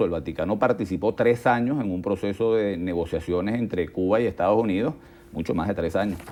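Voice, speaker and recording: A man speaks at a fairly quick pace with a fairly low pitch. His tone is dark and mellow, and his pitch varies in an ordinary way. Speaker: think tank director. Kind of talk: interview.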